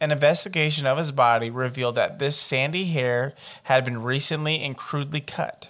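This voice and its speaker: At a fairly quick pace, a man speaks in a plain, everyday voice with a fairly high pitch and fairly even intonation. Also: very clean recording, silent background. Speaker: podcast host. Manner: reads report text steadily and evenly, then breaks into profane, exasperated commentary.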